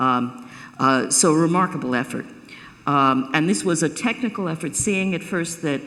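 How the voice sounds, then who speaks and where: Audible room echo surrounds a woman with an American accent who talks at a moderate pace with ordinary pitch variation. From New York. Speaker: professor of cybersecurity policy. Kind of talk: keynote lecture. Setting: stage with live audience. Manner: halting, many fillers and restarts.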